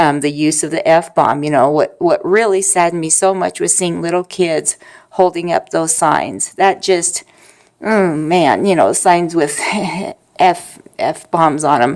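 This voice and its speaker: A woman's ordinary speaking voice with an American accent, fairly low in pitch, fairly even in intonation and fairly slow in pace. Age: 50s. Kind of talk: casual talk to camera. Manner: soft-spoken.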